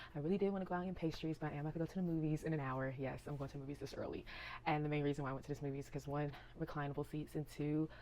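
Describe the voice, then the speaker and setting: A woman's very deep, low voice with a dark, mellow tone, fairly even intonation and a very fast pace. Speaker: vlogger. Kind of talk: casual vlog talk to camera. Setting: at home. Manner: quiet, not loud to avoid waking sisters.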